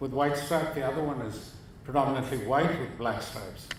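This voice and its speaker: Audible room echo and noticeable background noise surround the voice. A man talks at a moderate pace. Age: 70s. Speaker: photographer. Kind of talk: lecture.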